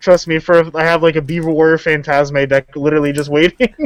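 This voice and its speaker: Amid noticeable background noise, a man with a fairly high pitch speaks at a fairly quick pace with fairly even intonation, in a dry, close sound with no echo. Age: 20s. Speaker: YouTuber, card game player. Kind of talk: casual interview chat.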